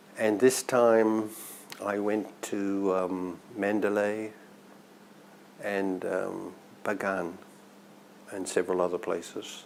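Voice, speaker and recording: Amid noticeable background noise, a man talks very slowly in a fairly low, flat monotone, with long, frequent pauses. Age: 70s. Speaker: Buddhist meditation practitioner recounting his life. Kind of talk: personal life story, interview monologue. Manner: halting, with fillers and repeated words.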